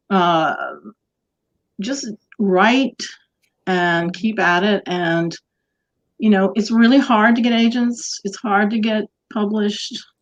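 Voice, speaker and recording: A woman's fairly high voice with an American accent, ordinary pitch variation, long, frequent pauses and a very slow pace. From rural US, Blue Ridge area. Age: 60s. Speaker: mystery novelist. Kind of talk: interview.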